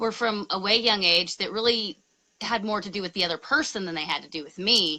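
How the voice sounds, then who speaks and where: A woman with a bright, sharp tone speaks at a fairly quick pace, her loudness swinging widely. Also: medium pitch for a woman, ordinary pitch variation. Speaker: spiritual ministry host. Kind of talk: casual interview conversation. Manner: dramatic, theatrical.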